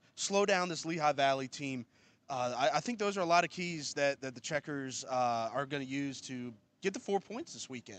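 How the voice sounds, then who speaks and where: A man with a plain, everyday voice talks at a moderate pace, fairly high in pitch and with lively intonation. His loudness swings widely against a quiet background. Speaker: PA announcer and co-host. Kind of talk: sports broadcast preview discussion.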